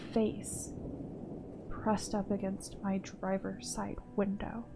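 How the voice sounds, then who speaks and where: A woman speaks very slowly at a medium pitch, her intonation fairly even. Music plays in the background. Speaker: horror story narrator. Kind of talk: horror story narration. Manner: soft-spoken.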